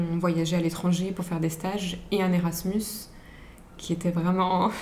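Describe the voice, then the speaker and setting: The woman's voice sits fairly low in pitch. Noticeable background noise and audible room echo surround her. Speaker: podcast guest. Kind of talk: casual chat. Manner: soft-spoken.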